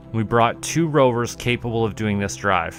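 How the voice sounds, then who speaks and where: A relaxed tone with very wide pitch swings, music in the background. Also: man. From Canada. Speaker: voice actor. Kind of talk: casual gameplay commentary.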